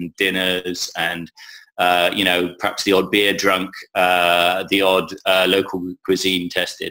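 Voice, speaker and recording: In an English accent, the speech moves at a fairly slow pace with a bright, sharp tone and monotone, flat intonation. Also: man. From England. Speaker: conference communications head. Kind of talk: interview. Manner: halting, many fillers and repetitions.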